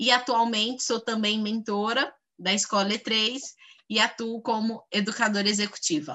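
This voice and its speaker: A woman speaks at a moderate pace with a fairly high pitch. Her loudness stays very even. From Goiás, Brazil. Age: 30s. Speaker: HR executive and educator. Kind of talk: interview. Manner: hesitant with fillers.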